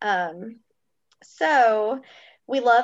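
A woman with an American accent against a quiet background. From US South, Kentucky and upstate South Carolina. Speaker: travel agent, guest. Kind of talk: casual chat.

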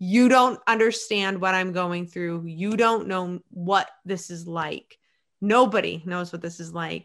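Speaking with an American accent, a woman of medium pitch uses an animated tone, big swings in loudness and a fairly slow pace. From central Maine, US. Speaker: police officer and first responder wellness instructor. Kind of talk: casual interview chat.

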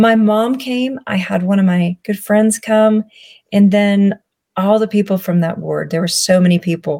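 A woman with a Southern US accent, somewhat breathy, medium in pitch, with fairly even intonation at a moderate pace. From US South. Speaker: public speaker and chronic illness advocate. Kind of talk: personal testimony in interview.

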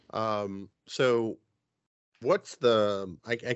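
A man's fairly low voice with a New Jersey accent. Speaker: podcast host. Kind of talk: casual chat.

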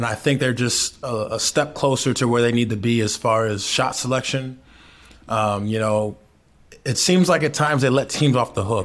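A man with a normal speaking voice, medium pitch and fairly even intonation. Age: 30s. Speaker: professional basketball player, podcast co-host. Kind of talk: casual sports chat.

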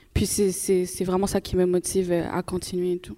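Medium-pitched woman's voice with a dark, mellow tone. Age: young. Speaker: university student. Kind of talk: live panel discussion. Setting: live event with audience.

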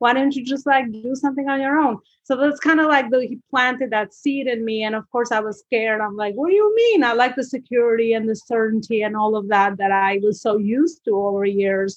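A woman speaks at a fairly quick pace in a fairly high pitch with ordinary pitch variation. She hardly pauses, and the background is quiet. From Albania. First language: Albanian. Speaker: business coach. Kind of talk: interview. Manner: rambling, hesitant with fillers.

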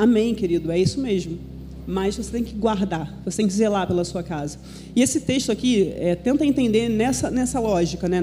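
A woman's medium-pitched voice, dark and mellow in tone, with vocal fry and lively intonation. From Brazil, Minas Gerais (Belo Horizonte). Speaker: pastor's wife, preacher. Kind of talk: sermon. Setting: church.

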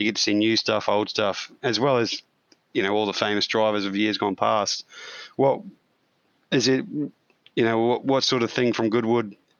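A man in an Australian accent speaks at a medium pitch and moderate pace, with fairly even intonation and very even loudness. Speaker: podcast co-host and amateur racing driver. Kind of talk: casual interview.

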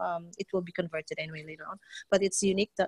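A woman speaks with a dry, close sound that has no echo. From Philippines. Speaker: mother entrepreneur. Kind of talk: casual chat.

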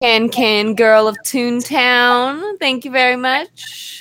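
A woman speaks at a very slow pace. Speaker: player in the game. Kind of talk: casual chat, tabletop roleplaying game session.

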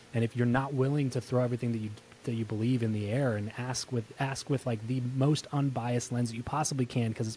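This man talks very fast at a medium pitch, his tone dark and mellow, somewhat breathy, his intonation fairly even. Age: 30s. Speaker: podcast host and entrepreneur. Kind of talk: interview. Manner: casual, conversational.

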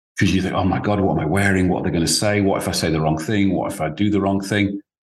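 With ordinary pitch variation and a fairly low pitch, the man rushes through at a very fast pace. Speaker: business advisor, former founder. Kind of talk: interview. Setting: video call.

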